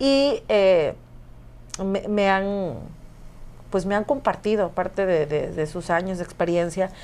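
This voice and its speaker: A woman talks very slowly at a medium pitch with ordinary pitch variation, very even loudness and long, frequent pauses. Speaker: singer and radio host. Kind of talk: casual interview.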